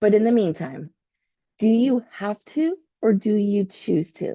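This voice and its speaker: A woman speaks at a medium pitch in a dark, mellow tone. The sound is dry and close with no echo, over a quiet background. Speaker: podcast host. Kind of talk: motivational self-help podcast talk. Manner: occasional stumbles.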